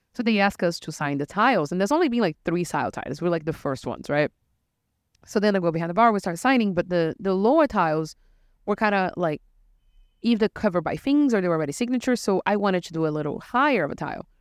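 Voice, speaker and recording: A woman speaks very fast in a Portuguese accent with lively intonation against a quiet background. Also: medium pitch for a woman. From Brazil. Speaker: bartender and podcast host. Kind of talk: casual chat podcast. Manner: playful, animated.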